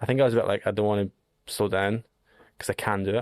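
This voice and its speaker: In a very clean recording with a silent background and a dry, close sound with no echo, a man with a Scottish accent speaks at a very fast pace. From Scotland. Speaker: long-distance hiker. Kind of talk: podcast interview. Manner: animated.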